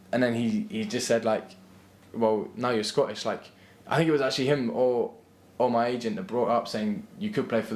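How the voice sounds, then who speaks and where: A man with an English accent, medium pitch, lively intonation and a fairly quick pace. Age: 20s. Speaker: footballer and university student. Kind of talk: interview. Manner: halting, many repeated words.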